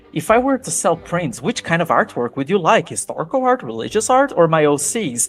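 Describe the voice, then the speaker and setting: A woman's voice with very wide pitch swings, music in the background. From Brazil, Northeast region. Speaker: artist. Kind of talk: casual chat. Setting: live stream.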